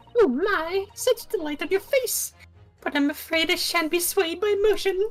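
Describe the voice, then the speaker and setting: In a squeaky, put-on character voice at an extremely high pitch, a woman talks at a moderate pace while faint music plays in the background. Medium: fan dub. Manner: airy, affected, repeats catchphrases.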